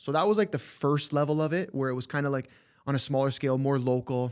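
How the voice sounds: Speaking fast at a medium pitch, a man has a clear, smooth tone on a very clean recording with a silent background.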